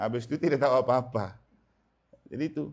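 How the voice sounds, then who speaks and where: Fairly quick pace from a man with an unremarkable speaking voice at a medium pitch. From Manggarai, Flores, eastern Indonesia. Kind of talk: sermon. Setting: house blessing Mass in a home. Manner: conversational.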